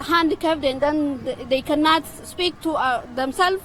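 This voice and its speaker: Over noticeable background noise, a woman with a high pitch speaks at a moderate pace with an Ethiopian accent. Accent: Ethiopian Oromo. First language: Oromo. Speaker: protester. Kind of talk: street interview. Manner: halting.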